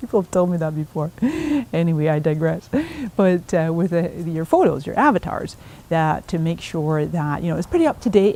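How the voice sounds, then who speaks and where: A woman speaks at a fairly quick pace with a fairly low pitch. Her tone is dark and mellow. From Scotland and Canada. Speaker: social media marketing speaker. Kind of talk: recorded video message. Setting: outdoors in a garden. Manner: hesitant, many fillers.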